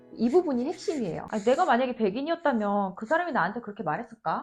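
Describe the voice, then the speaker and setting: This woman talks at a very fast pace with a high pitch and very wide pitch swings. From South Korea. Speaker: professor and YouTuber. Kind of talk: advice vlog talk.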